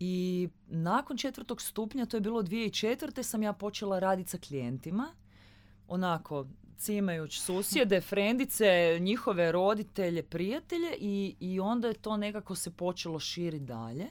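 Speaking at a moderate pace, a woman of medium pitch uses lively intonation. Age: 30s. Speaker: astrologer. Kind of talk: casual chat. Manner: cheerful, relaxed.

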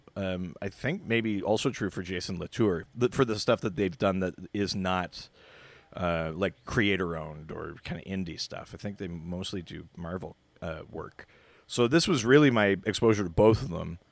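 A man with a Canadian accent speaks at a moderate pace in a very deep, low voice. His pitch varies in an ordinary way, while his loudness swings widely. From southern Ontario, Canada. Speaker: guest, comic fan. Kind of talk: casual chat, podcast discussion.

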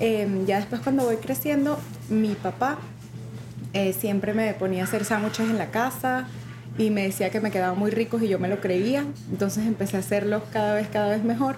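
A woman at medium pitch and a moderate pace, with very even loudness and noticeable background noise. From Venezuela, Mérida. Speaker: chef and restaurant owner. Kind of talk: interview.

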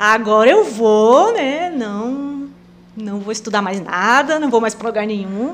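With an unremarkable speaking voice, a woman talks at a fairly high pitch and a fairly slow pace. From Rondônia, Brazil (Presidente Médici). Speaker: missionary. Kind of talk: casual interview. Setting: studio.

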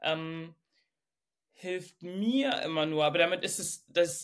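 A woman at a fairly low pitch and fairly slow pace, with ordinary pitch variation, on a very clean recording with a silent background. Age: 30s. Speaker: coaching client. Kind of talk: personal coaching conversation.

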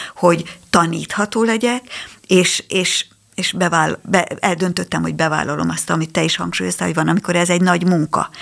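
This woman has a fairly low pitch. Vocal fry runs through her voice. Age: 60s. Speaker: psychologist. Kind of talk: radio interview. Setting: studio. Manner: halting.

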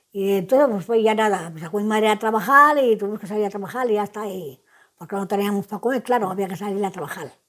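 A woman with a medium pitch and ordinary pitch variation talks at a very fast pace. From Spain, El Payo (Salamanca). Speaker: elderly resident. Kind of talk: recorded life-story interview. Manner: halting, repetitive.

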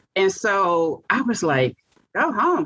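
A woman with an American accent speaks in a creaky, vocal-fry voice, her pitch swinging very widely. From US South, Monroe, Louisiana. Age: 50s. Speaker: heart transplant recipient. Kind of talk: interview testimony.

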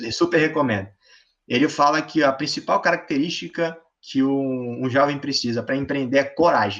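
In an ordinary speaking voice, a man talks at a moderate pace with a fairly high pitch. His pitch varies in an ordinary way over a quiet background. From Brazil, various states. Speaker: engineering student and startup founder. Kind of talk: casual interview.

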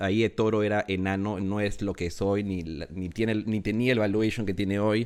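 A man speaks at a moderate pace in an ordinary speaking voice with a fairly low pitch. The recording is very clean, with a silent background. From Peru. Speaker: NFT project founder. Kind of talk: casual interview.

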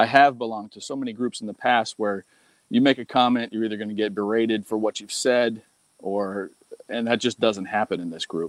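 A man talks at a fairly quick pace in a fairly low voice with fairly even intonation; a plain, everyday voice. The recording is very clean, with a silent background and a dry, close sound with no echo. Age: 50s. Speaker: online marketing student. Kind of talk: casual interview.

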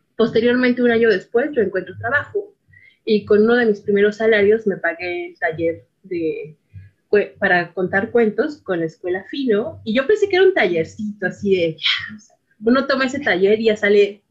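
A woman with an ordinary speaking voice talks at a moderate pace, with a medium pitch and ordinary pitch variation. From Mexico City, Iztapalapa. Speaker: storyteller and poet. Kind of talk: interview; storytelling.

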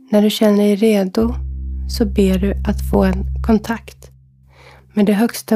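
A woman speaks in a gentle, calm tone. Her pace is fairly slow. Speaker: medium and meditation guide. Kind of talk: guided meditation. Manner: slow, calm and soothing, with long pauses between instructions; gentle, soft-spoken, hypnotic.

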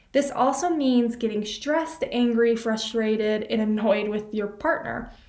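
A woman talks at a fairly slow pace with hardly any pauses, her fairly high pitch showing ordinary variation. Noticeable background noise and audible room echo come through the recording. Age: 20s. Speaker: student podcaster. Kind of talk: solo advice podcast. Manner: animated.

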